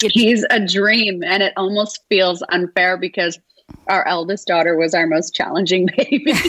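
A woman with a Canadian accent and a normal speaking voice talks at a moderate pace and medium pitch. Her pitch variation is ordinary and her loudness very even. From Toronto, Canada. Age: 50s. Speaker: author. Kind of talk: interview.

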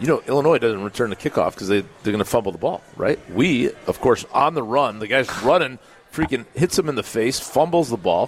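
A man speaks in a plain, everyday voice at a medium pitch, with lively intonation. His pace is fairly quick, with hardly any pauses. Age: 40s. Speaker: former college football player, radio co-host. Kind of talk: live sports talk radio. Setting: live broadcast from a pub.

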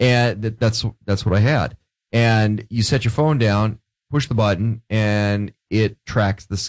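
A man speaks in a plain, everyday voice, pitched fairly low with ordinary pitch variation. The sound is dry and close, with no echo. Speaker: radio co-host. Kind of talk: casual radio banter. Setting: studio.

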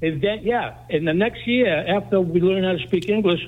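Using lively intonation, a man with a Greek accent speaks at a high pitch and a moderate pace. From Greece, raised in New Bedford. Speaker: radio caller. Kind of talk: call-in comment.

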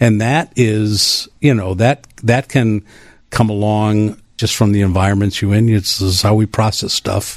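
Here a man with an American accent speaks at a fairly low pitch and a fairly slow pace, with fairly even intonation. The recording is very clean, with a silent background. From Wisconsin. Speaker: addiction recovery advocate. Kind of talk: interview. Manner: halting.

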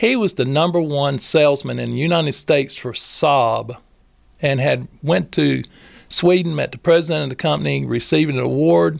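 A man speaks with a North Carolina accent. His pace is moderate. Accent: US South, North Carolina. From Moore County, North Carolina (Robbins). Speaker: homeless charity director. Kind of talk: podcast interview. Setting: studio.

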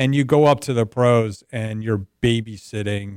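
In a dry, close sound with no echo and a very clean recording with a silent background, a man with an American accent and a plain, everyday voice talks at a medium pitch with ordinary pitch variation. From US Northeast, North Jersey. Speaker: business advisory CEO. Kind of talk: radio sports talk interview. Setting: radio show.

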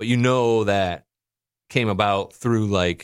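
On a very clean recording with a silent background, an ordinary speaking voice keeps fairly even intonation. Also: man. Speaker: podcast co-host commentator. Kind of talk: casual chat.

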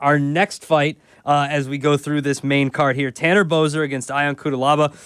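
A man speaks with an unremarkable speaking voice. His pitch is fairly high and his pace fairly quick. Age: 30s. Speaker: sports betting podcast host. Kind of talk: casual chat.

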